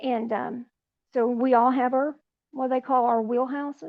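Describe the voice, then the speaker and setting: A woman speaks at a high pitch in an Appalachian accent. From West Virginia, Appalachia. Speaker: retired nurse and mother. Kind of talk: podcast interview. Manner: halting.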